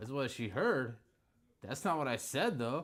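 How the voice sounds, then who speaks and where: With an American accent, a man shows very wide pitch swings and vocal fry. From Indiana. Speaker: card break host. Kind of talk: live stream commentary. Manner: casual, chatty.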